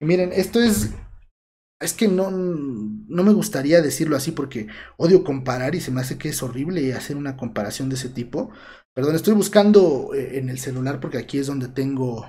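At a moderate pace, a somewhat breathy voice moves with lively intonation. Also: man, fairly high pitch for a man. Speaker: history student and channel creator. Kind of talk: casual livestream chat. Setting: home livestream.

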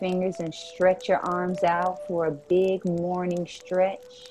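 A woman at a very slow pace, medium in pitch and monotone, flat in intonation, over noticeable background noise. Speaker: meditation guide, co-host. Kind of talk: guided meditation. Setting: live virtual call. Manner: slow, soothing, calm; warm, inviting.

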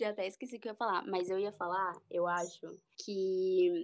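A woman talks at a moderate pace and medium pitch. The recording is very clean, with a silent background. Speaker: journalist, beauty and health reporter. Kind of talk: casual chat.

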